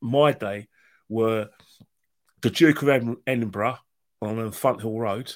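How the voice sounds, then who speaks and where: Pausing long and often, a man with a London accent talks with big swings in loudness. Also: very clean recording, silent background. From London, Islington. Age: 50s. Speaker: football fan guest. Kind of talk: casual interview chat. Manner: animated.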